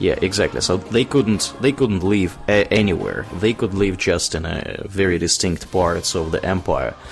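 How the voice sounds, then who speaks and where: A man's fairly low-pitched voice in a Russian accent, with hardly any pauses. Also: ordinary pitch variation, moderate pace. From Tver, Russia. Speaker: podcast host. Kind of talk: casual chat.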